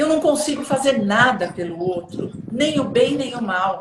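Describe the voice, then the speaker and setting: Using lively intonation, a woman talks at a fairly slow pace. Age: 60s. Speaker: self-development coach. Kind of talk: casual chat.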